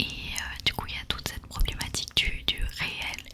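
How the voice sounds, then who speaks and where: Noticeable background noise fills the recording. Under it, a woman whispers fairly slowly. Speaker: ASMR creator. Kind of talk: ASMR whispered talk to camera. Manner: whispered.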